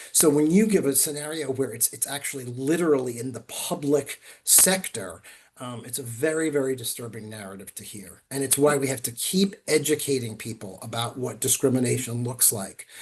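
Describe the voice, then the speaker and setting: Somewhat breathy and fairly quick, a man with a medium-pitched voice uses lively intonation and big swings in loudness. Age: 60s. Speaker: attorney presenting webinar. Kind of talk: webinar Q&A.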